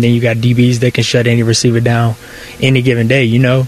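Backed by music, a man speaks fairly quickly at a medium pitch in a monotone, flat intonation. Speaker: football player. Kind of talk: interview. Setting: team facility. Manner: laid-back, casual, hesitant with fillers.

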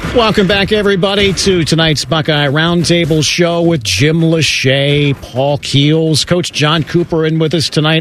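This man's voice sits fairly high in pitch. He keeps a moderate pace with ordinary pitch variation. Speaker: radio host. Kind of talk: radio sports talk show hosting. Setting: studio. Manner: polished, upbeat, energetic broadcaster delivery.

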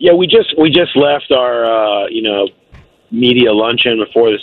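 This man has a plain, everyday voice, a medium pitch, and fairly even intonation. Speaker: NFL beat reporter. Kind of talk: casual sports interview.

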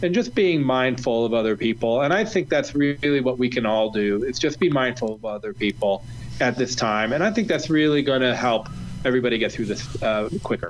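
A plain, everyday voice from a man with an American accent, medium in pitch, moderate in pace, with lively intonation. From Ohio, US Midwest. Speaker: chef. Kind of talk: casual chat.

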